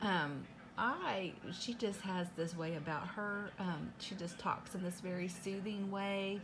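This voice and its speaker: A woman speaks at a fairly slow pace with ordinary pitch variation. Noticeable background noise is present. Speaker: unboxing vlogger. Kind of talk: casual vlog chat. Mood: cheerful, grateful. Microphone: phone near.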